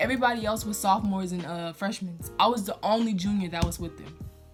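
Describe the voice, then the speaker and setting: With music in the background, a woman with an American accent talks very fast at a medium pitch and with fairly even intonation. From Louisiana, USA. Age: 20s. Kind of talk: casual storytime talk to camera.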